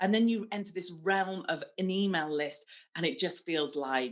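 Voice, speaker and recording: Lively intonation runs through a woman's speech. Behind her, things are quiet. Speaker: marketing speaker and podcast host. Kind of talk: online presentation. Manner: fast.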